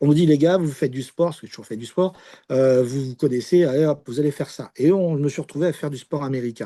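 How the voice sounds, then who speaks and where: Against a quiet background, a man talks at a very fast pace in a dark, mellow tone. His pitch is fairly high with ordinary variation, and his loudness swings widely. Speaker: sports commentator and radio host. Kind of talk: interview answer.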